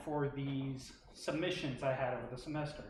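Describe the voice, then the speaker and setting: There is audible room echo as the man talks, taking his words at a fairly slow pace. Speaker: graduate film student presenter. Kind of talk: academic presentation. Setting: stage with audience, live streamed. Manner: halting.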